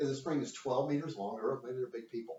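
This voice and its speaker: A man's medium-pitched, somewhat breathy voice with very wide pitch swings. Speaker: physics teacher. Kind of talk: recorded lecture. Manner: fast; casual, joking.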